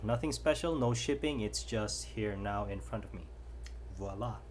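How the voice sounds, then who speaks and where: A man's somewhat breathy, fairly low voice with a Filipino accent and audible room echo. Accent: Filipino accent, noticeable. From Philippines. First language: Cebuano (Bisaya). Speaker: knife reviewer YouTuber. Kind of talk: product review. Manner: slow, deliberate; hesitant with fillers.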